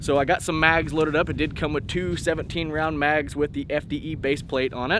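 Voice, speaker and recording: A man with a fairly high pitch talks at a fairly quick pace, with hardly any pauses and fairly even intonation. Noticeable background noise can be heard. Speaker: gun channel host. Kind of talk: casual vlog commentary at the range. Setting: outdoor shooting range. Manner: soft-spoken.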